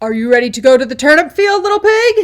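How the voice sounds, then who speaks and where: A woman puts on a character voice, pitched high, with very wide swings in pitch. She talks at a very fast pace. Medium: read story. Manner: roaring, scheming.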